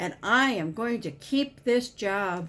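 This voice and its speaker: Delivered at a fairly slow pace, this is a put-on character voice. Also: woman. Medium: read story.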